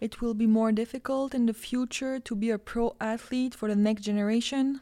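A dark, mellow voice with a Quebec French accent moves at a moderate pace with fairly even intonation. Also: woman. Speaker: podcast host. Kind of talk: casual interview.

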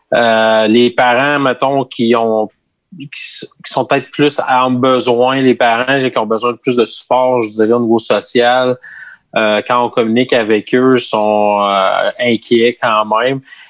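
A man's medium-pitched voice, monotone and flat, at a very slow pace, with a dry, close sound and no echo. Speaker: school staff member. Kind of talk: casual chat.

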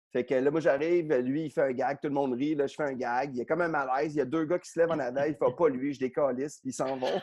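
Fairly high-pitched man at a very fast pace with hardly any pauses. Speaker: comedian. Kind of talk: casual chat. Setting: video call from his garage. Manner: loud.

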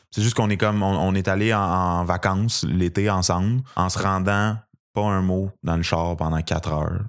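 His very deep, low pitch stays at very even loudness and fairly even intonation, at a moderate pace. The man is on a very clean recording with a silent background. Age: 20s. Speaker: stand-up comedian. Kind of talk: casual interview chat.

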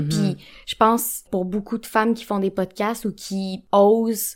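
Medium-pitched speech from a woman, recorded very cleanly against a silent background. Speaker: podcast co-host, sexologist. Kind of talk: casual chat.

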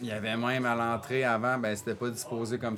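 Medium-pitched male voice at a fairly quick pace, with noticeable background noise. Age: 40s. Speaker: coffee roaster. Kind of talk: casual chat. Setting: coffee shop workshop.

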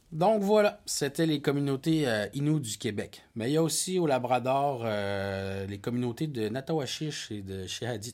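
A man with a medium-pitched voice speaks at a fairly slow pace with hardly any pauses and very wide pitch swings. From Quebec North Shore, Innu community. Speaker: podcast co-host. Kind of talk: casual chat.

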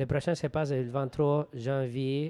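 The speaker has a Spanish accent. The tone is dark and mellow. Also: man. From Venezuela. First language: Spanish (speaking French). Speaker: group facilitator. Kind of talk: casual interview.

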